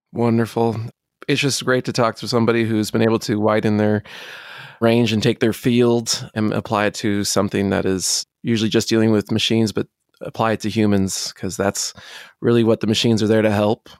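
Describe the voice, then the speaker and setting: A medium-pitched man at a fairly quick pace, flat and monotone, dry and close with no echo, on a very clean recording with a silent background. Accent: American. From United States. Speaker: podcast host. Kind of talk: interview.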